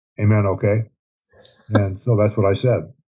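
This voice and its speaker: Somewhat breathy and dark, mellow in tone, this man's voice sits fairly low. He talks at a fairly quick pace. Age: 80s+. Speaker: war veteran. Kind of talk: interview. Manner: frequent filler words and hesitations.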